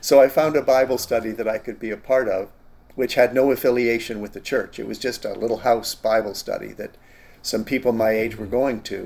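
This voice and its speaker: A man with a Canadian accent talks fairly quickly at medium pitch, his intonation fairly even and his loudness swinging widely. He has an unremarkable speaking voice. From Canada. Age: 60s. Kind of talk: interview, personal testimony.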